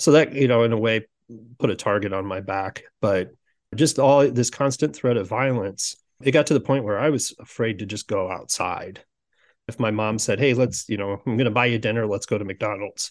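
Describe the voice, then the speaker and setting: Spoken at a moderate pace with ordinary pitch variation, the voice carries a Midwestern American accent over a quiet background. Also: man, medium pitch for a man. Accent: General Midwestern American. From US Midwest (Sioux City, Iowa). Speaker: executive coach. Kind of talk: interview conversation.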